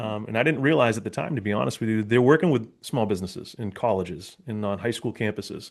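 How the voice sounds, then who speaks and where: A man with a Boston accent, fairly low pitch and ordinary pitch variation, at a fairly quick pace against a quiet background. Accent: Boston area. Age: 40s. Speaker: police officer and public speaker. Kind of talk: interview conversation. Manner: casual, with many fillers and repetitions.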